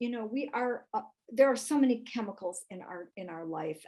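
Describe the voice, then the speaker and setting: A woman with a plain, everyday voice, a fairly high pitch, ordinary pitch variation and a moderate pace. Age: 60s. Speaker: health expert and author. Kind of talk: live webinar product training.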